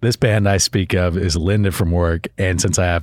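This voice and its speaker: On a very clean recording with a silent background, a man speaks with an American accent in a very deep, low pitch. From Florida. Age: 30s. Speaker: podcast host and musician. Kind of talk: casual chat. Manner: animated.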